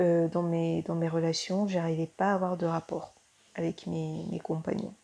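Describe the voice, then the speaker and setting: This woman talks at a fairly slow pace. Her pitch sits fairly low, and her intonation stays fairly even. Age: 20s. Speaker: student sharing patient testimonial. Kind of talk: testimony. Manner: hesitant, many fillers.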